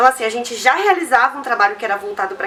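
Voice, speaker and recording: The pitch swings very widely. Noticeable background noise is present. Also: woman. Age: 30s. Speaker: community organization co-founder. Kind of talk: interview.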